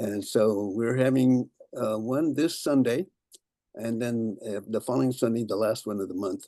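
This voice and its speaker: A man with a Californian accent speaks at a moderate pace in a medium pitch, his tone dark and mellow, recorded dry and close with no echo. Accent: Californian American English. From US West Coast, San Jose, California. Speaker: local historian giving a talk. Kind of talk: lecture. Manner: halting, many fillers.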